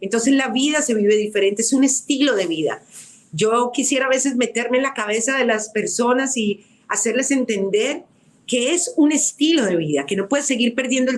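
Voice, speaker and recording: Her high pitch shows ordinary variation as this woman speaks. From Colombia. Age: 60s. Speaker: radio producer and author. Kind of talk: testimony. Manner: emphatic.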